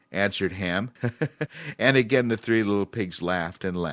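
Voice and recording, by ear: The passage is read aloud in a natural voice, its pitch varying in an ordinary way.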